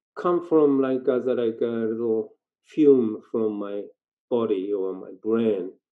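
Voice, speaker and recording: A man speaks with a Japanese accent. His pitch varies in an ordinary way. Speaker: dancer and theatre performer. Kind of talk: casual interview. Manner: halting.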